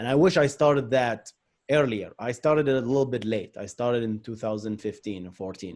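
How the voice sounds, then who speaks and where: Someone with a non-native accent speaks at a fairly quick pace, with ordinary pitch variation and big swings in loudness. The recording is very clean, the background silent. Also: man, medium pitch for a man. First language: not English. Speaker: software engineer and tech YouTuber. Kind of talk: interview conversation.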